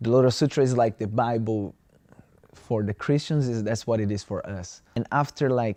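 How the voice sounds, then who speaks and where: A man talks at a moderate pace with a Brazilian Portuguese accent. His medium-pitched voice keeps a fairly even intonation. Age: 20s. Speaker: student. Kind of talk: interview. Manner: halting.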